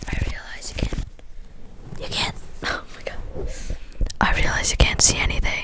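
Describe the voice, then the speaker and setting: A whispering woman with big swings in loudness, long, frequent pauses and noticeable background noise. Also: moderate pace. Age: adult. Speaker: ASMR artist. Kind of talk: ASMR roleplay, casual chatty talk to camera. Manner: whispered, soft, chatty.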